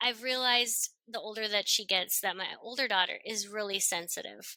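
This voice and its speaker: This woman is loud, with a fairly high pitch. Her tone is bright and sharp. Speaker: homeschooling mother. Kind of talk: casual chat. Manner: animated.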